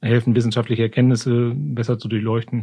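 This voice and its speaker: A man talks at a fairly quick pace with a medium pitch. His intonation stays monotone and flat. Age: 50s. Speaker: climate official at a county administration. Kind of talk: interview. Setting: studio, seated at a distance.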